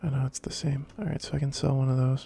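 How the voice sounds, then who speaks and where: At a fairly quick pace, a man is talking. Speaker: let's play gamer. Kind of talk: gameplay commentary. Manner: casual; soft-spoken.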